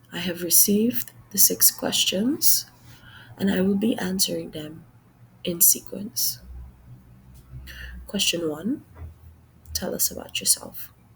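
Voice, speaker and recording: In a Trinidadian accent, a woman speaks at a very slow pace with long, frequent pauses. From Trinidad, Sangre Grande. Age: 40s. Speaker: job applicant. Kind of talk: mock job interview presentation. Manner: formal.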